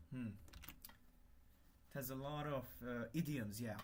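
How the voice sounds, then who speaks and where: A man with a Hungarian accent speaks at a medium pitch, with audible echo from the room. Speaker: livestreamer, language hobbyist. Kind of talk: casual livestream chat while working. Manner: halting, many fillers and restarts.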